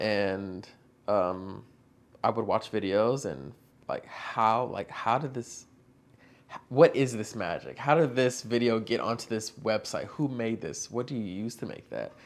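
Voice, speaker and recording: Speaking with an American accent, a man has a normal speaking voice, medium pitch and ordinary pitch variation. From Northern Virginia, US. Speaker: videographer and photographer. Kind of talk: casual chat.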